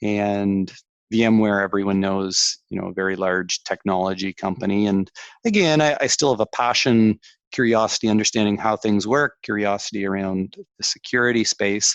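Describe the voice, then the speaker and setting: With a Canadian accent, a man uses an ordinary speaking voice at a fairly low pitch. The moderate pace and fairly even intonation come through a dry, close sound with no echo against a quiet background. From Canada. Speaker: tech executive. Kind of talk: interview.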